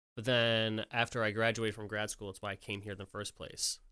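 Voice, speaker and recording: A man with an American accent speaks at a moderate pace in a fairly low pitch with a bright, sharp tone, on a very clean recording with a silent background. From upstate New York. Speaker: music industry worker. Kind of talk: casual chat.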